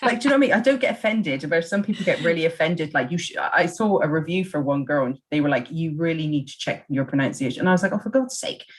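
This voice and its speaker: A woman with an English accent speaks very fast in a fairly low, somewhat breathy voice, with hardly any pauses. Her pitch swings very widely. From England. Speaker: podcast host. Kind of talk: reading prepared notes; casual chat.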